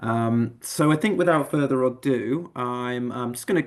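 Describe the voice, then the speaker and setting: Over a quiet background, the speaker uses a fairly even intonation with an English accent. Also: man. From England. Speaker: admissions manager. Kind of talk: online info session presentation.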